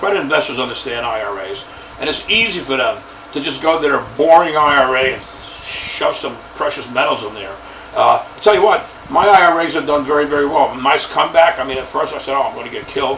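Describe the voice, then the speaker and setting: Lively intonation runs at a very fast pace, with audible room echo and noticeable background noise. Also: man, fairly high pitch for a man, big swings in loudness. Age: old. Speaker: lead list broker. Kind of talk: casual talk to camera. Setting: home office. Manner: halting, many fillers.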